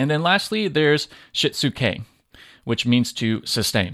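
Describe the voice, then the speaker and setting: A man with an American accent speaks at a very slow pace in a bright, sharp tone, recorded very cleanly against a silent background with a dry, close sound and no echo. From Southern California. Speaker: podcast host and lean manufacturing educator. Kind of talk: solo educational podcast monologue. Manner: casual, conversational with fillers.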